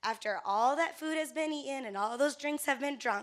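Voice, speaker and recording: In a very clean recording with a silent background, a woman speaks at a high pitch in a bright, sharp tone with very wide pitch swings. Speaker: conference speaker, event media company representative. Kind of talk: workshop presentation. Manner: fast; casual, conversational.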